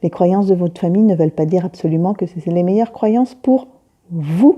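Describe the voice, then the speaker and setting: Her medium-pitched voice has a dark, mellow tone and ordinary pitch variation. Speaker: spiritual medium / intuitive consultant. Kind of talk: reflective monologue to camera. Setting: self-recorded on phone. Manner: slow, searching for words; hesitant, many fillers.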